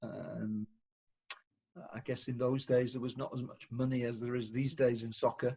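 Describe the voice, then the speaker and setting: Somewhat breathy, a man with a Welsh accent speaks at a medium pitch and a moderate pace. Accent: British (Welsh). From North Wales. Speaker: professor. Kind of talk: podcast interview. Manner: hesitant, many fillers.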